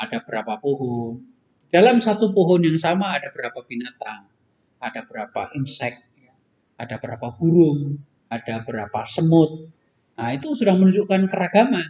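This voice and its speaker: A man's fairly high, dark, mellow voice at a moderate pace, with very wide pitch swings and big swings in loudness. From East Java, Indonesia. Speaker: professor and university rector; professor. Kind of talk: interview. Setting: studio. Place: hall.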